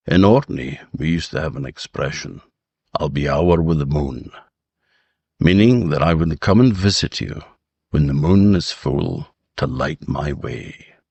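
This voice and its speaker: Speaking with a very deep, low pitch and vocal fry, a man goes at a fairly slow pace with ordinary pitch variation and long, frequent pauses. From Orkney. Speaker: storyteller. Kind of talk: podcast host conversation.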